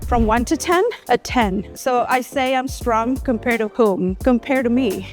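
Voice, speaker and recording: Music plays in the background as a woman speaks at a moderate pace. Her pitch is high, with ordinary variation. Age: 50s. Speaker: registered nurse. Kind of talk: interview answer.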